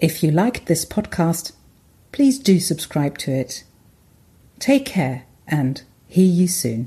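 Very slow and somewhat breathy, a woman's fairly low, dark, mellow voice moves through very wide pitch swings with long, frequent pauses. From Germany. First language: German. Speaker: podcaster, language and culture commentator. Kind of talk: scripted narration.

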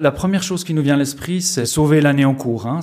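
This speaker is male. His pitch moves up and down in an ordinary way. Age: 40s. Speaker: festival finance director. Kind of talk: interview. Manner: hesitant, many fillers and repetitions.

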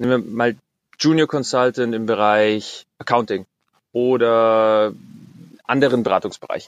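At a fairly slow pace, a man with a medium pitch speaks in fairly even intonation, leaving long, frequent pauses. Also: dry, close sound with no echo. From Bavaria, Germany. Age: 20s. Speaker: corporate intrapreneur. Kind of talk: interview.

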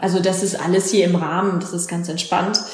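There is noticeable background noise and audible room echo. A woman with a fairly low pitch speaks at a moderate pace. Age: 30s. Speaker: trainee paramedic, trained opera singer. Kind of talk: interview.

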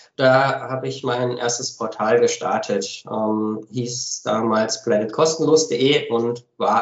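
Using an unremarkable speaking voice, the man talks at a medium pitch, and his pitch varies in an ordinary way. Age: 30s. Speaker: company founder and managing director. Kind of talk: podcast interview. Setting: home office.

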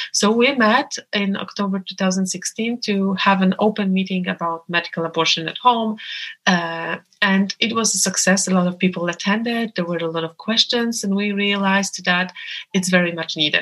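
At a moderate pace, a woman with a Polish accent speaks at medium pitch with fairly even intonation. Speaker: abortion rights activist. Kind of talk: interview. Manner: hesitant with many fillers.

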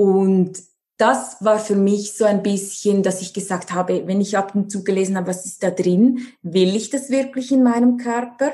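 A woman's voice carries a dark, mellow tone. It is somewhat breathy. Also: medium pitch for a woman, ordinary pitch variation, moderate pace. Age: 30s. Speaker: nutrition and life coach. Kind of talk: interview.

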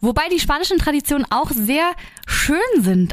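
A woman's animated tone with very wide pitch swings. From Germany. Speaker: podcast host. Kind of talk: casual chat; reading aloud.

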